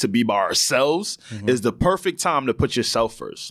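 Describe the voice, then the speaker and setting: On a very clean recording with a silent background, a man talks with a New York accent. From New York (Long Island). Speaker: podcast co-host. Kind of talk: casual chat. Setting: studio.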